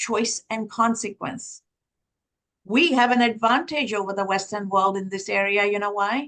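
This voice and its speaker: Her intonation is fairly even. The speaker is a woman. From Sri Lanka. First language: Tamil. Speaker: professor. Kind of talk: webinar talk.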